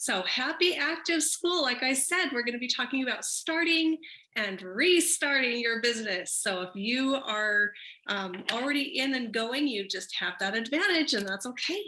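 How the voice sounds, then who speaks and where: A woman speaks at a high pitch in an upbeat tone, with very wide pitch swings. Her pace is moderate. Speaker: network marketing leader; business trainer. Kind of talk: training presentation. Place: home room. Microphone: webcam.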